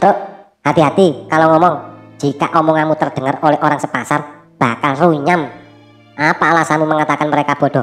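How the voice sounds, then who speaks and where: A cartoonish character voice at middle pitch moves at a fairly quick pace, with faint music in the background. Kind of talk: cartoon dialogue.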